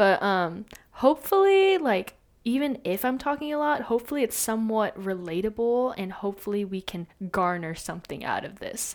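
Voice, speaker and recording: Speaking at a moderate pace, a woman uses a fairly high pitch and lively intonation. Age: young. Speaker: college student podcast host. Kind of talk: casual monologue. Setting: home recording on laptop. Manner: talkative, rambling.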